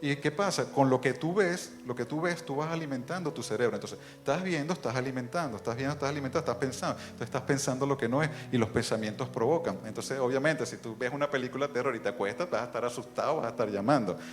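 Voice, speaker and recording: A man talks at a very fast pace with hardly any pauses and ordinary pitch variation. Noticeable background noise runs under his voice. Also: medium pitch for a man. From outside Bolivia, Latin America. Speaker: preacher. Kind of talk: sermon.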